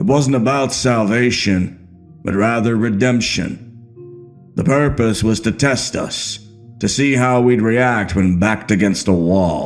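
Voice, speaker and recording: Over clear music in the background, a man performs a put-on character voice at a medium pitch and a fairly slow pace. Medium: read story. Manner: measured, knowing.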